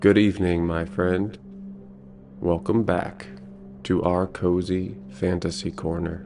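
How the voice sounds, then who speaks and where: A man's very deep, low voice with an American accent, fairly even intonation, a very slow pace, long and frequent pauses, and noticeable background noise. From United States. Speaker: storyteller. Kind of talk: sleep story intro and relaxation guidance. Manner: soothing, calm.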